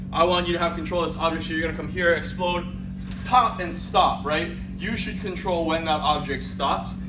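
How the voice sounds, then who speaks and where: There is music in the background. A man speaks at a fairly quick pace. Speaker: fitness trainer. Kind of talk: tutorial. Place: gym. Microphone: camera far.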